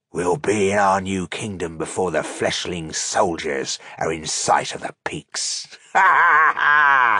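A man performs a put-on character voice that is raspy, growling and booming, pitched fairly low, moving at a fairly slow pace with hardly any pauses. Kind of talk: villain voice in an audiobook reading. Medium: read story. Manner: menacing, boastful.

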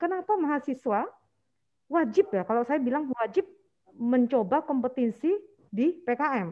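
Speaking at a fairly slow pace with long, frequent pauses, a woman uses a high pitch and very wide pitch swings. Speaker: university lecturer. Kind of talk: lecture. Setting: video call.

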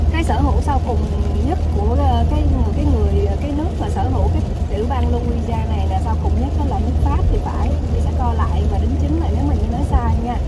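The pace is fairly quick beneath loud background noise. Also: woman. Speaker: vlogger. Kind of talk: casual vlog chat. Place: car. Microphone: phone near.

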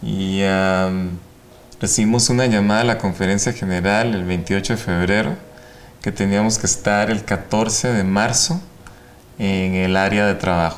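Fairly slow and fairly low in pitch, a man talks with fairly even intonation and very even loudness over light background noise. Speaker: ophthalmologist and medical professor. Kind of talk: interview. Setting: studio. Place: studio. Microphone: lapel.

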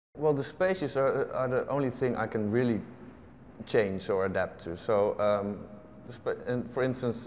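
A man talks at a moderate pace. There is light background noise. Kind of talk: interview answer. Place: hall. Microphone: lapel.

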